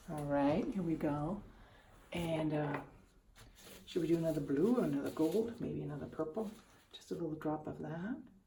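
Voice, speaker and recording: Quiet and mumbling, a woman speaks at a very deep, low pitch with ordinary pitch variation and a moderate pace. Her long pauses come often, and room echo can be heard. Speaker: art tutorial youtuber. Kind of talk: casual tutorial commentary.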